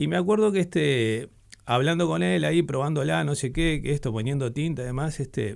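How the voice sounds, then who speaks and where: A man with a Uruguayan accent speaks at a fairly quick pace. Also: very clean recording, silent background. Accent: Uruguayan Spanish (Rioplatense). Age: 60s. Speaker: typographer and letterpress printer. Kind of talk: radio interview. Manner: halting, many fillers and restarts.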